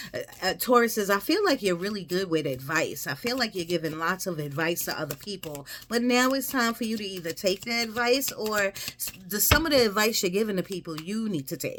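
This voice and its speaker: A woman talks at a fairly quick pace with lively intonation and hardly any pauses. Noticeable background noise is present. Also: medium pitch for a woman. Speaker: tarot reader. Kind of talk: tarot reading.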